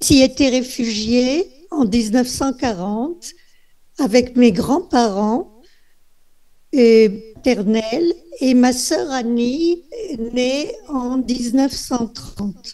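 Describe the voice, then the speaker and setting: A woman with a high-pitched voice speaks at a very slow pace, leaving long, frequent pauses. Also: ordinary pitch variation. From France, Nice. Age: 80s+. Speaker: Holocaust survivor. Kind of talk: testimony. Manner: soft-spoken. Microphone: far from the mic.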